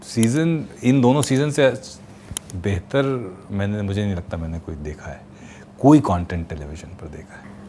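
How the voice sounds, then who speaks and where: Long, frequent pauses break up a man's fairly low voice, which swings very widely in pitch and heavily in loudness. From Kanpur, India. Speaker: voice artist. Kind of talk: interview answer.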